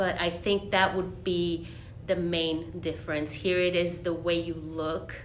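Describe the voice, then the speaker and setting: Over noticeable background noise and audible room echo, a woman speaks in a fairly low pitch with fairly even intonation. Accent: Spanish. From Monterrey, Mexico. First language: Spanish. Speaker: Spanish teacher. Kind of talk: interview.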